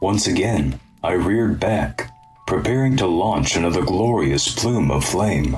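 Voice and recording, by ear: The intonation is lively. This is reading aloud in a natural voice.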